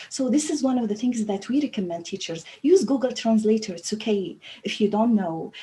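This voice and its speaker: With an Arabic accent, a woman speaks at a moderate pace and a fairly high pitch, her intonation lively amid noticeable background noise. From Libya. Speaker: language teacher trainer. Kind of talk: panel discussion. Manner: halting.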